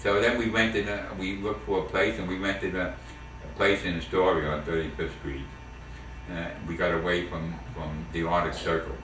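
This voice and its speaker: A man with a New York accent and a very deep, low pitch at a moderate pace, with audible room echo and noticeable background noise. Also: ordinary pitch variation. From New York City, the Bronx. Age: 70s. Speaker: war veteran. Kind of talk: family oral history interview. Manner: halting, many repetitions and fillers.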